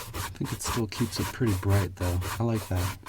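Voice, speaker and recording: Over noticeable background noise, a man speaks in a calm, soothing tone at a very deep, low pitch. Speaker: shoe shine ASMR creator. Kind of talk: casual talk to camera, ASMR demonstration.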